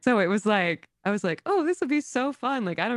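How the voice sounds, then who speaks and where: In an unremarkable speaking voice, a woman talks at a fairly quick pace with an American accent. The sound is dry and close, with no echo. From US South, small town. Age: 30s. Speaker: TikTok creator and dog walker. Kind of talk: casual chat. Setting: podcast.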